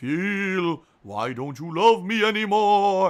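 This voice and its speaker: In a put-on character voice, a man speaks at a very slow pace with a high pitch. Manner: wailing, plaintive.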